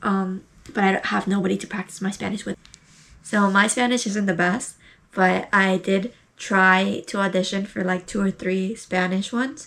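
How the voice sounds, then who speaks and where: A woman speaks in a normal speaking voice with an American accent, at medium pitch. Her pace is moderate and her intonation fairly even. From United States. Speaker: beginner voice actor, video creator. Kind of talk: casual vlog talk to camera. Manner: casual, with many fillers and self-corrections.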